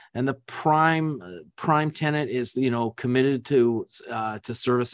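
A man's medium-pitched, normal speaking voice at a fairly slow pace, with ordinary pitch variation and a quiet background. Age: 60s. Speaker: business founder and executive. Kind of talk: interview.

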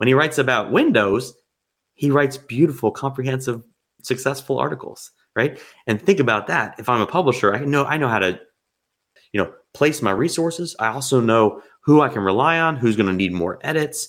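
This is an unremarkable speaking voice with lively intonation. It moves at a fairly quick pace. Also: man, medium pitch for a man. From New Jersey. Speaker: software company co-founder. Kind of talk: interview. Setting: remote call.

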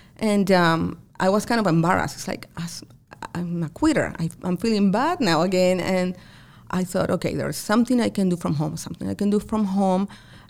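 With an American accent, a woman speaks at a fairly quick pace and medium pitch in a plain, everyday voice with ordinary pitch variation. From outside the US. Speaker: accountant and business owner. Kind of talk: interview conversation. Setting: her office.

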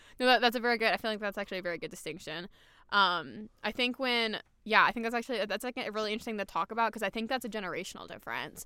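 A woman with a fairly high, bright, sharp voice talks at a very fast pace with ordinary pitch variation, recorded very cleanly against a silent background. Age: 20s. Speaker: podcast host. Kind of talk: casual chat. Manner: animated; excitable.

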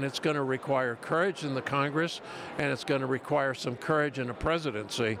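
A man's fairly high voice shows ordinary pitch variation, with noticeable background noise behind it. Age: 70s. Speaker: senior advocacy group president. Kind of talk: interview. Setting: conference event.

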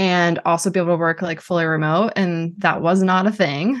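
Speaking very fast with an American accent, a woman keeps her intonation fairly even. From Boston, US. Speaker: marketing agency CEO. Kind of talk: interview. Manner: casual, many fillers.

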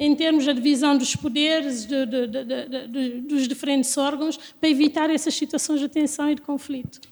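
A high-pitched woman's voice at a moderate pace, with fairly even intonation. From Guinea-Bissau. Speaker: lawyer and doctoral researcher. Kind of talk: interview.

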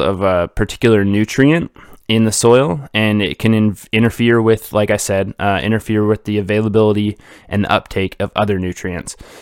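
A man at a moderate pace with fairly even intonation, in a dry, close sound with no echo, on a very clean recording with a silent background. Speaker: podcast host, cannabis grower. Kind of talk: solo educational talk. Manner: hesitant, many fillers and repeats; casual, rambling.

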